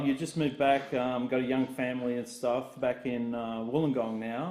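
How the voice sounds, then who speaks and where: A man with an Australian accent at a moderate pace, medium in pitch, dark and mellow in tone, with fairly even intonation. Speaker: podcast host. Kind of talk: casual chat.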